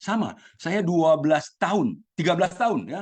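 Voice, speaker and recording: At a moderate speed, a man speaks with ordinary pitch variation. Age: 60s. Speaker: participant in Buddhist sharing group. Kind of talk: group sharing testimony. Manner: hesitant, many fillers.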